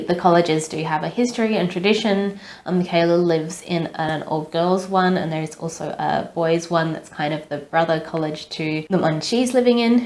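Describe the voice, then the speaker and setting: A woman's fairly low voice, ordinary pitch variation, moderate pace with hardly any pauses, and noticeable background noise. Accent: Australian. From Australia. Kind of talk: casual talk to camera, book review.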